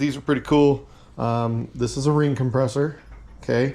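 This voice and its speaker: A man with an unremarkable speaking voice and fairly high pitch talks at a moderate pace with fairly even intonation. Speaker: race car builder and channel host. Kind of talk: hands-on tutorial. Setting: home garage. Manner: casual with many fillers.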